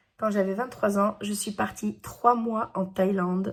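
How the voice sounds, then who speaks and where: A woman speaks at a fairly slow pace. Her intonation stays monotone and flat. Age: 40s. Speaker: teacher and YouTuber. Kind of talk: personal vlog monologue. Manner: loud; hesitant fillers.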